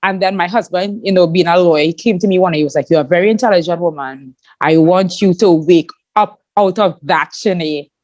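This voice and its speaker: In a Trinidadian accent, a woman with a fairly low pitch speaks at a fairly quick pace in an animated tone, with ordinary pitch variation and very even loudness. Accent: Trinidadian accent, shown proudly. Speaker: podcast host and YouTuber. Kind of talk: interview chat.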